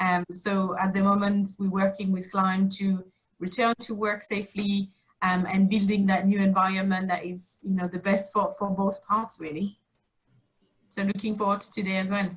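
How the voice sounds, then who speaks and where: Somewhat breathy and speaking at a moderate pace, a woman with a French accent holds a medium pitch in a monotone, flat intonation. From France. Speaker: workplace experience director. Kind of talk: panel discussion.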